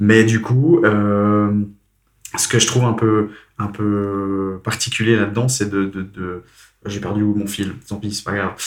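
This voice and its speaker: A man at a very slow pace, fairly low in pitch, with fairly even intonation and long, frequent pauses. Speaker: podcast host. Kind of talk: casual chat. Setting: recording at host's home.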